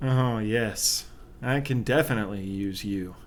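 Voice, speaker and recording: Putting on a sinister character voice at medium pitch, a man speaks at a fairly slow pace over clear background noise. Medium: audio drama. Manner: smooth and sinister.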